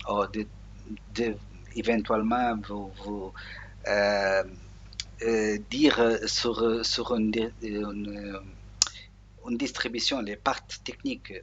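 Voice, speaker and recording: With a Portuguese accent, a man talks very slowly in a fairly low, monotone, flat voice, with long, frequent pauses. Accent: Portuguese-accented French, non-native. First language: Portuguese (speaking French). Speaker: Linux software tutorial maker. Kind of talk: screen tutorial. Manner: halting, many hesitations.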